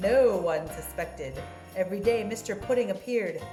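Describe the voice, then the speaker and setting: Music runs behind a woman who keeps a moderate pace. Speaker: grandmother reading to her grandson. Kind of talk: dramatic children's story reading.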